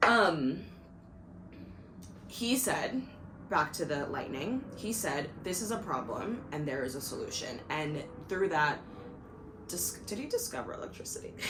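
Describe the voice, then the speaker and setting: A woman talks in an animated tone with very wide pitch swings and long, frequent pauses. Audible room echo surrounds her voice. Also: medium pitch for a woman. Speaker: video podcaster. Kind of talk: casual monologue. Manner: fast.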